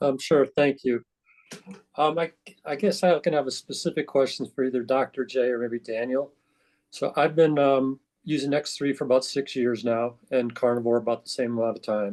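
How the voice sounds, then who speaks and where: Ordinary pitch variation and a moderate pace come through in an ordinary speaking voice. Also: man, medium pitch for a man. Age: 60s. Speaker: call participant, fitness program user. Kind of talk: question in group call.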